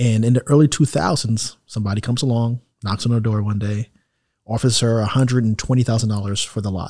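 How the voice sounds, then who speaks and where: A man at a very fast pace, medium-pitched and somewhat breathy, with a dark, mellow tone and fairly even intonation, in a very clean recording with a silent background. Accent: New York. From New York, Queens. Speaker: real estate investor and healthcare business owner. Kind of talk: casual interview.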